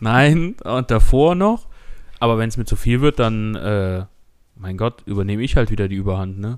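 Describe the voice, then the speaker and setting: Here a man talks at a moderate pace in a plain, everyday voice, medium in pitch with ordinary pitch variation. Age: 20s. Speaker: podcast co-host, IT technician. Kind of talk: casual chat.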